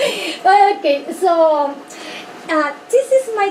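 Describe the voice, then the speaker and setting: Noticeable background noise behind a speaking woman. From Peru, from Pisco. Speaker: high school teacher giving a talk about his country. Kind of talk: presentation to a small group. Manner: slow, halting non-native English.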